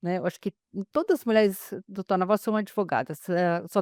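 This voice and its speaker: The woman's fairly even intonation comes through a dry, close sound with no echo. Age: 60s. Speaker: lawyer, webinar presenter. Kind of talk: webinar introduction. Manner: hesitant, many fillers.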